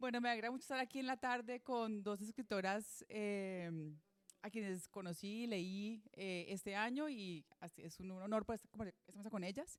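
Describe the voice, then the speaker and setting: This is a woman with a plain, everyday voice at medium pitch and ordinary pitch variation. She talks at a moderate pace, and her loudness swings widely. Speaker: moderator of a literary talk, teacher. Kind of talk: panel introduction.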